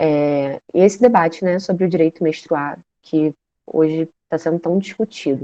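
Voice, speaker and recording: A woman speaks at a fairly low pitch in a dark, mellow tone with ordinary pitch variation. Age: 20s. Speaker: social work student, guest lecturer. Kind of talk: online lecture. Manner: informal, with fillers.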